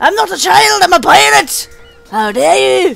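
Faint music plays in the background as a man uses a put-on character voice, high in pitch, at a moderate pace. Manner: indignant, theatrical.

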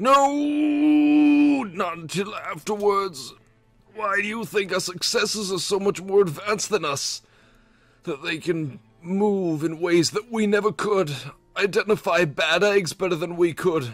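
Over faint background music, a man puts on a character voice with a high pitch and a fairly slow pace. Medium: game stream. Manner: earnest, confessional.

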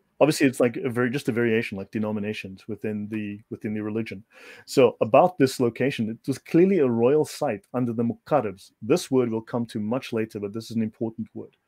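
A man with a South African accent speaks very fast with hardly any pauses, in a dark, mellow tone at medium pitch with ordinary pitch variation, the sound dry and close with no echo. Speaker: researcher presenting on religious history. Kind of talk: informal lecture in a video chat.

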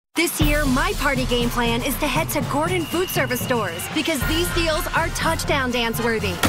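Loud background music under a woman's moderately paced delivery, with hardly any pauses and a dry sound with no echo. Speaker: voice actor. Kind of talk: TV commercial read. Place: studio.

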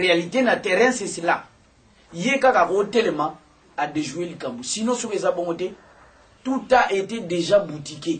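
Fairly slow, with long, frequent pauses, a man speaks in a high voice with lively intonation. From DR Congo. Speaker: opposition politician. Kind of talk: political talk show discussion. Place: office.

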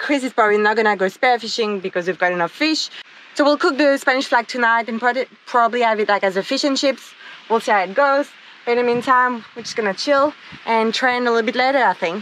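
A woman talks at a fairly quick pace with a high pitch and ordinary pitch variation. The sound is dry, with no echo. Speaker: travel vlogger. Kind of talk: casual vlog chat. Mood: playful, laughing. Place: beach. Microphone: phone near.

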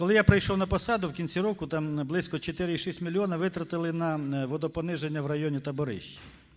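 A man with a fairly high voice speaks at a very fast pace with fairly even intonation.

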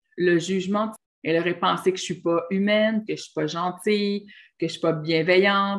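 Against a quiet background, a woman talks at a moderate pace with a medium pitch and fairly even intonation. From Quebec. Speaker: relationship and spiritual coach; relationship coach. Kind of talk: monologue video talk. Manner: hesitant fillers. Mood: warm, encouraging. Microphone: webcam.

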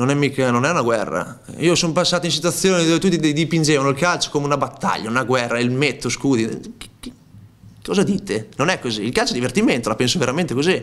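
A man's fairly high voice, very fast pace and lively intonation. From Romagna, Italy (Cesenatico); Romagna, Italy. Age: 30s. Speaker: footballer. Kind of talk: press conference interview. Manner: hesitant, repeats words. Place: meeting room. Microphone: podium.

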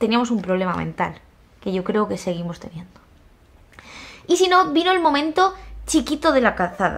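Animated and fairly high-pitched, a woman with a Spanish accent talks at a moderate pace with very wide pitch swings and long, frequent pauses. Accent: Peninsular Spanish. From Spain. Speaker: YouTuber. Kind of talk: casual vlog monologue. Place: home room. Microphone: phone near.

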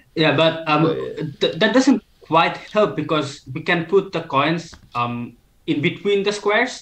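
A man speaks at a fairly slow pace in a high pitch, with lively intonation. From Bangladesh. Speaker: maths student, former olympiad competitor; guest. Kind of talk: educational livestream chat. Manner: hesitant, many fillers. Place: home room. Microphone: webcam.

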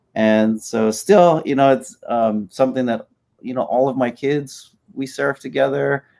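Dark and mellow in tone, a man talks at a fairly slow pace with ordinary pitch variation. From Hawaii, Hilo (Big Island); Hawaii. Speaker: professor and surfer; professor. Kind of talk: podcast interview. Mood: relaxed, reflective. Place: home room.

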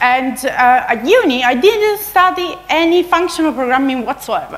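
The pitch swings very widely. A woman delivers the words at a fairly slow pace. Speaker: conference speaker. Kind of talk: lecture. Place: hall.

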